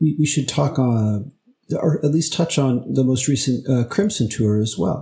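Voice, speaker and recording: A man with a somewhat breathy, medium-pitched voice talks fairly slowly, his intonation lively and his loudness very even. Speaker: podcast co-host. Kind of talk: casual interview chat.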